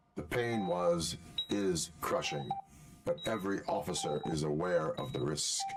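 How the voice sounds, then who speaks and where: A man does a put-on character voice with a very deep, low pitch at a moderate pace. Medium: video game. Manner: flat, terse.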